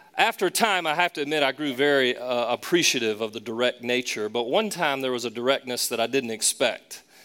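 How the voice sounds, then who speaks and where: A man with a Southern US accent speaks at a fairly quick pace and medium pitch with ordinary pitch variation, the sound dry and close with no echo. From US South, Charlotte. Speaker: pastor. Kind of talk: sermon.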